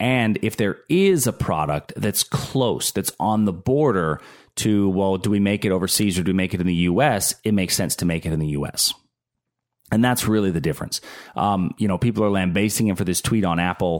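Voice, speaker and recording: In a normal speaking voice with an American accent, a man talks at a fairly low pitch with ordinary pitch variation, a fairly quick pace and very even loudness on a very clean recording with a silent background. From Pittsburgh, Pennsylvania. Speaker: financial advisor podcast host. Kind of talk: casual solo monologue on finance.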